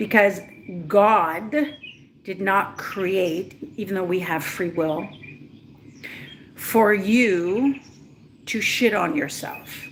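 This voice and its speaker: Pausing long and often, a woman speaks very slowly with lively intonation over noticeable background noise. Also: medium pitch for a woman. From Israel. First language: not English. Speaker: spiritual coach. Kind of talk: livestream talk. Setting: livestream. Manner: animated.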